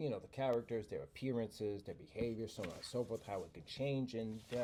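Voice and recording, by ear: Someone reading aloud in a natural voice, intonation fairly even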